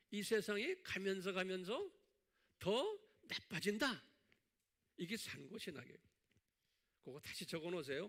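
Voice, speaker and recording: A man's high-pitched voice, lively in intonation, broken by long, frequent pauses. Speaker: pastor teaching theology. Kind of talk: sermon-style Bible lecture. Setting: church with online viewers. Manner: not fast, by own account.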